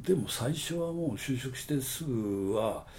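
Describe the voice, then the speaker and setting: A man's voice swings very widely in pitch, dark and mellow in tone and somewhat breathy. Audible room echo surrounds it. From Okayama, Japan (rural). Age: 60s. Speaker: advertising agency owner. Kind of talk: casual interview.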